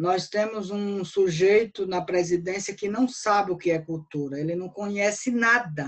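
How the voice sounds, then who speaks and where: With a medium pitch and ordinary pitch variation, a woman speaks in a plain, everyday voice at a fairly slow pace with hardly any pauses. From Brazil, interior of Bahia (Northeast). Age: 40s. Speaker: cordel poet and writer. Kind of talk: casual interview.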